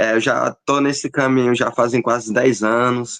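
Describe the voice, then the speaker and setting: A man talks at a fairly slow pace in an ordinary speaking voice. His intonation is fairly even, and the sound is dry and close with no echo. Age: 20s. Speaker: arts student and game entrepreneur. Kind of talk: interview.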